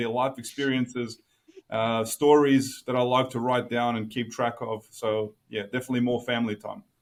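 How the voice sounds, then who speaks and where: A man at a fairly quick pace, in an Australian accent. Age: 30s. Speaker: engineer and academic. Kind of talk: podcast interview.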